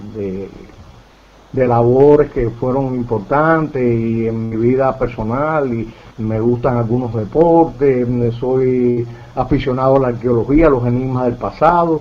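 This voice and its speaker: Against noticeable background noise, a man with a medium pitch speaks at a fairly slow pace with fairly even intonation. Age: 60s. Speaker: UFO researcher. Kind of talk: interview. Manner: halting.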